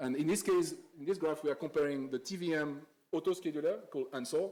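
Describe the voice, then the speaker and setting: Talking very fast, a man with a fairly high pitch and a dark, mellow tone keeps his intonation fairly even. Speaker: conference speaker on AI compilers. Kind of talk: conference talk. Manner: halting, many fillers and repeats.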